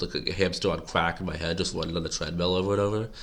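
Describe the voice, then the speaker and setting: A man speaks here. His intonation is monotone and flat. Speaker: political commentary vlogger. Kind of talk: casual monologue to camera. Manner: rambling, halting.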